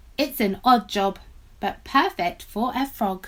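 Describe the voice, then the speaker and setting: In a very clean recording with a silent background, a female-sounding voice uses a fairly high-pitched put-on character voice at a fairly slow pace. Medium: read story.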